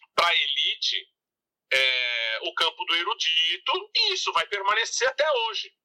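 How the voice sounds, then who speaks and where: Over music in the background, a man speaks at a fairly slow pace, the sound dry and close with no echo. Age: 50s. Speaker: music researcher and author. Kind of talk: interview.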